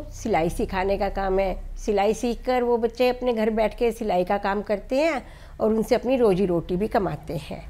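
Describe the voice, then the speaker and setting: Her voice is an unremarkable speaking voice, pitched fairly high for a woman. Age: 60s. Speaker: NGO founder. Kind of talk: interview.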